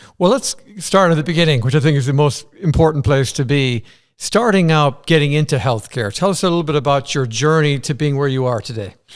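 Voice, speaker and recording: This man speaks with an Irish accent at a fairly quick pace. His pitch is fairly high and varies in an ordinary way. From Ireland. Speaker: interviewer. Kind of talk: interview conversation. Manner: enthusiastic.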